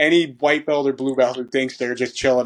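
A man talks at a moderate pace in a medium pitch. He has an ordinary speaking voice. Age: 30s. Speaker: strength and conditioning coach for grappling athletes. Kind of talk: casual interview conversation.

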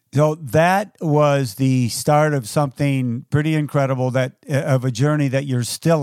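In a dry, close sound with no echo, a man speaks with fairly even intonation. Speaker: podcast host and race announcer. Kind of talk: interview.

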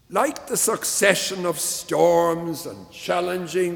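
A man speaks very slowly in a high pitch. There is noticeable background noise. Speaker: preacher. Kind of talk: sermon, earnest and reflective. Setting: church.

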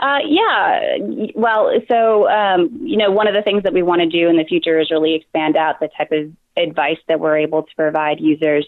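With an ordinary speaking voice, a woman at a fairly low pitch keeps very even loudness, hardly any pauses and lively intonation. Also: moderate pace. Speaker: project manager at research lab. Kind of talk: interview answers, explaining a tool.

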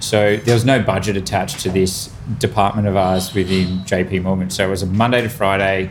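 Fairly low-pitched man with an Australian accent, at a fairly quick pace, amid audible room echo and noticeable background noise. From Australia, New South Wales country town. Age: 30s. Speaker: chef and restaurateur. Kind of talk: casual chat. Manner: animated.

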